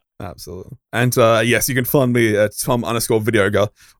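A man with an Australian accent speaks at a medium pitch in a dry, close sound with no echo. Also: very clean recording, silent background. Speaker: podcast host. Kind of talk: casual chat.

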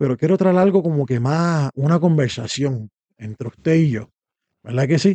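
This man speaks at a moderate pace in a fairly high pitch. His pitch variation is ordinary. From Puerto Rico. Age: 30s. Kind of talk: monologue about faith. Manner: halting, many fillers.

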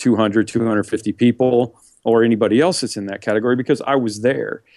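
This man has an unremarkable speaking voice at a medium pitch. He talks at a fairly quick pace with fairly even intonation. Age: 50s. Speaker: megachurch pastor. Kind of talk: interview conversation.

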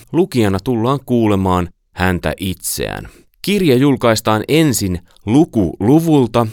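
A man speaks at a very slow pace with very wide pitch swings. The recording is very clean with a silent background and sounds dry and close with no echo. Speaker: publisher announcer. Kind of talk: promotional announcement.

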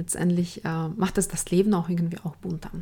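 A woman talks at a fairly quick pace and a medium pitch. Her voice is somewhat breathy, with fairly even intonation. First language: not German (speaking German). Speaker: resilience coach and podcast host. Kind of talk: solo podcast talk.

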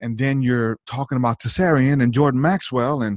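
In a plain, everyday voice, a man with an American accent speaks at a moderate pace and medium pitch, the sound dry and close with no echo against a quiet background. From not from the US South. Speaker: musician and former evangelist. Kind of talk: casual interview.

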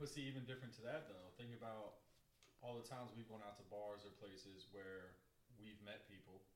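A man talks at a fairly quick pace with a fairly low pitch. His voice is somewhat breathy, with ordinary pitch variation. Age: 30s. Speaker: podcast co-host. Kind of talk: casual chat.

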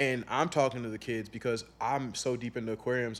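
Speaking with a Chicago-area accent, a man talks at a fairly quick pace. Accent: Chicago-area American English. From US Midwest. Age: 20s. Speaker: aquarium entrepreneur and youth mentor. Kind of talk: casual interview conversation.

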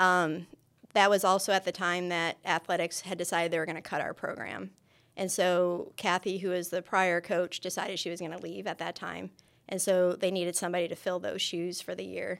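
The speaker has an American accent and vocal fry, talking at a fairly quick pace in a monotone, flat way. The recording is very clean, with a silent background. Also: woman, fairly low pitch for a woman. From New York State, near Buffalo. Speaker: university kinesiology lecturer and archery coach. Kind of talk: interview. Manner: frequent fillers (um, uh).

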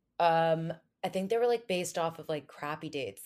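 A woman with an American accent. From New Jersey. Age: 20s. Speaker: lifestyle influencer, former podcast producer. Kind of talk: casual chat.

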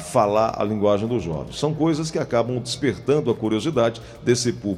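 A man with a fairly low voice talks at a moderate pace with lively intonation. Music plays in the background. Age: 50s. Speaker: TV/radio health segment host. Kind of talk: interview.

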